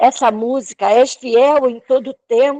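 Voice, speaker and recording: This woman talks at a very slow pace in a high pitch with a dark, mellow tone. The sound is dry and close, with no echo. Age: 60s. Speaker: church member giving testimony. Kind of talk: testimony. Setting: online church service, live video call.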